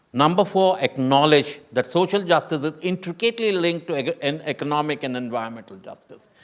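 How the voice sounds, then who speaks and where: In an ordinary speaking voice, a man talks at a fairly quick pace and fairly high pitch with lively intonation and hardly any pauses. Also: big swings in loudness. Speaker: UN official panelist. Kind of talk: panel discussion.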